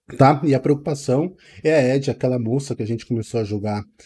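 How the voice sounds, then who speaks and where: You hear a man talking. His pitch variation is ordinary. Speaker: gaming channel host. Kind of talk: casual vlog chat. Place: home room. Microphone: headset.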